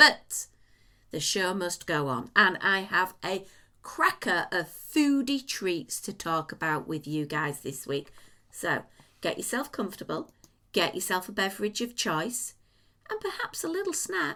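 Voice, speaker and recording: A woman's bright, sharp tone at medium pitch, with very wide pitch swings and a fairly slow pace. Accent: English. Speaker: podcast host. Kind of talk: casual chat.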